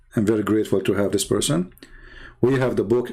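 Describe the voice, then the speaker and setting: A man with a non-native accent speaks at a fairly quick pace in a medium pitch, with ordinary pitch variation. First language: not English. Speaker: religious debater and author. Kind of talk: livestream polemic talk. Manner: animated.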